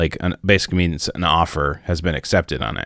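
The voice belongs to a man. He speaks at a moderate pace. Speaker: podcast co-host and singer. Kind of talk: casual chat. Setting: video call.

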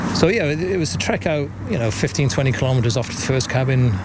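A man with a Welsh accent talks at a very fast pace, his pitch medium with ordinary variation. Audible room echo and noticeable background noise surround him. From West Wales. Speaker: charity trekker and business owner. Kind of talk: interview.

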